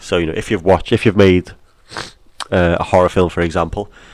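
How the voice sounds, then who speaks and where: On a very clean recording with a silent background, a man with an English accent speaks very fast in a very deep, low, flat monotone. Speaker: film studies teacher. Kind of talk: educational lesson narration over slides.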